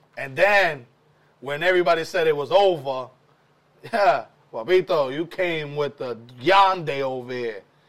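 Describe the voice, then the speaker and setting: A man's fairly high voice with a New York accent, animated in tone, at a moderate pace with ordinary pitch variation, big swings in loudness, and long, frequent pauses. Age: 40s. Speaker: podcast host. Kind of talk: casual interview.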